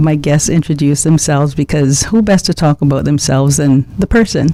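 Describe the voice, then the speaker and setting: Noticeable background noise sits under a woman's voice, which has ordinary pitch variation. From Cayman Islands, George Town. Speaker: radio talk show host. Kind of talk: radio interview.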